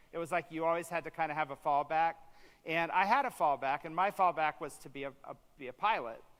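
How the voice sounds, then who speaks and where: With an American accent, a man speaks at a very fast pace, his pitch varying in an ordinary way. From US Midwest, east central Indiana. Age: 50s. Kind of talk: conference talk. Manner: many fillers, halting.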